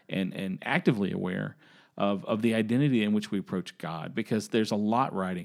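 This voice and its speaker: A man with an American accent speaks at a very fast pace with a fairly low pitch and ordinary pitch variation. The recording is very clean, with a silent background. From US South.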